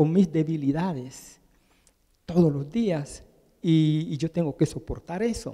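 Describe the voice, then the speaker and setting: Talking at a fairly slow pace, a man has a dark, mellow tone, a fairly high pitch and ordinary pitch variation. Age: 70s. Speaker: preacher. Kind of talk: sermon.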